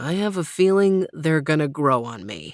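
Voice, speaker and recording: A woman's put-on character voice, growling and very deep, with very wide pitch swings, a confident tone and a moderate pace. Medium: read story. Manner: confident, teasing.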